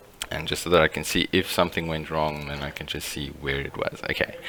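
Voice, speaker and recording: Over noticeable background noise, a man with a very deep, low pitch speaks at a very fast pace. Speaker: teacher. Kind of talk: tutorial.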